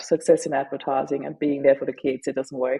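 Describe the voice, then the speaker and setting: A woman speaks with a German accent and flat, monotone intonation. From Austria. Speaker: author and grief advocate. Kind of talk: interview testimony.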